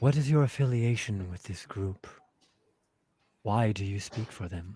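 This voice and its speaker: A man performs a put-on character voice pitched fairly low. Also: moderate pace. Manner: calm but pointed.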